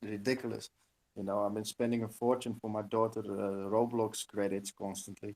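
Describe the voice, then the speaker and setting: A man with a non-native accent speaks at a fairly low pitch and moderate pace. His intonation is monotone and flat, and the sound is dry and close with no echo. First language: not English. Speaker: game developer. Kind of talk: casual chat. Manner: halting.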